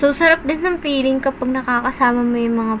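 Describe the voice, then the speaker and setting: Over noticeable background noise, a woman speaks in a raised, projected voice at a high pitch. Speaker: food vlogger. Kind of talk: casual vlog narration. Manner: loud; animated.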